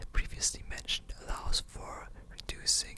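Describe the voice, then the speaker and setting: Whispering at a fairly slow pace amid noticeable background noise. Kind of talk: ASMR reading of an encyclopedia article.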